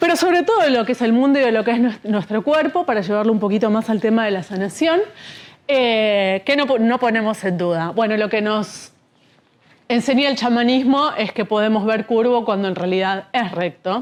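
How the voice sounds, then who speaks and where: A woman speaks at a fairly high pitch with lively intonation. Her loudness stays very even throughout. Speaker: speaker on shamanism. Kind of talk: lecture. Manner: fast.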